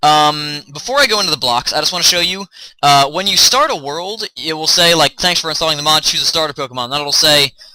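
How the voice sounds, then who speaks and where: Over noticeable background noise, a man talks at a very fast pace in a fairly high voice with ordinary pitch variation. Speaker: gaming YouTuber. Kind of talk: game mod tutorial.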